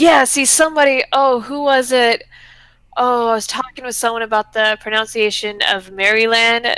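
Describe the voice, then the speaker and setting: A woman's fairly high, bright, sharp voice at a moderate pace, with fairly even intonation. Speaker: YouTuber. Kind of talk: casual chat.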